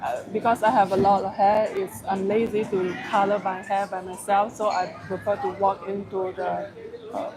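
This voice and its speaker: The speaker talks at a moderate pace with a Malaysian accent. Background noise is noticeable. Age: middle-aged. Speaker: travel vlogger. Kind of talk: casual chat. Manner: halting.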